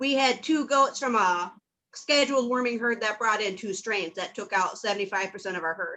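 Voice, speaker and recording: A woman with a Minnesotan accent speaks at a fairly quick pace in a fairly high pitch, her bright, sharp tone carrying ordinary pitch variation. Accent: Minnesota. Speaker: livestock farmer. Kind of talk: casual chat.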